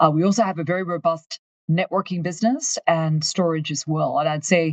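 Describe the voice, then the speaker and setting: A woman speaks at a fairly quick pace in a fairly low, somewhat breathy voice. The sound is dry and close with no echo. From Australia, far north Queensland. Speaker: company finance executive. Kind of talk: interview.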